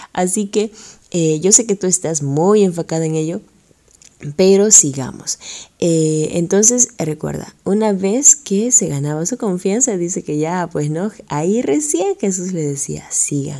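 A woman with a Peruvian accent, medium pitch, a dark, mellow tone and lively intonation. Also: fairly slow pace. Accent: Peruvian Spanish (Lima). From Peru (Lima). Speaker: radio host and teacher. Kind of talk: religious radio program.

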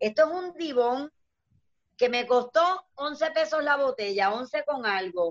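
A woman at a very slow pace, high-pitched with lively intonation, in a dry, close sound with no echo. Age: 50s. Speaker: dancer and entertainer. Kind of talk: casual chat.

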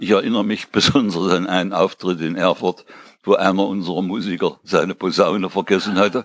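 A man's very deep, low, monotone voice at a fairly quick pace against a quiet background. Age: 80s+. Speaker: retired teacher and musician. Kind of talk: casual chat. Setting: at home, at a table.

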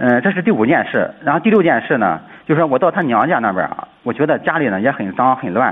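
Very wide pitch swings mark a man's fairly high voice, delivered at a very fast pace. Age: 30s. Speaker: caller, schoolteacher. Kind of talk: call-in advice. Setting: phone call.

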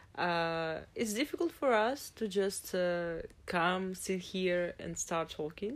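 In a Russian accent, a woman speaks at a very slow pace with ordinary pitch variation. The recording is very clean, the background silent. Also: medium pitch for a woman. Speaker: podcast co-host. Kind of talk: casual chat. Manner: halting.

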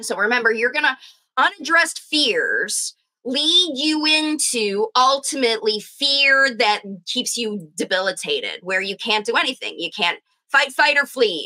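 A raised, projected voice with a bright, sharp tone, very wide pitch swings and a moderate pace. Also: woman. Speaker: speech pathologist and parent coach. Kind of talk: educational monologue to parents, video.

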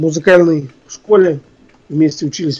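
This man's pitch varies in an ordinary way. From Russia, Ufa, Bashkortostan. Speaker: composer and musician. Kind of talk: interview.

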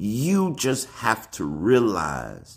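With vocal fry and an animated tone, a man speaks in an American accent. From Alabama, US South. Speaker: spiritual motivational video host. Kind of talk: motivational monologue.

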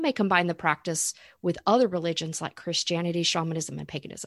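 Recorded very cleanly against a silent background, with dry, close sound and no echo, a woman with an American accent and a fairly low pitch uses a normal speaking voice with ordinary pitch variation. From Florida. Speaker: spiritual coach and podcast co-host. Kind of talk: casual chat.

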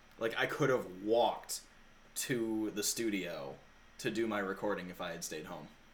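Here a man speaks at a moderate pace in a normal speaking voice, pitched fairly low with ordinary pitch variation. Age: 30s. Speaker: podcast host. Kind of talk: casual chat.

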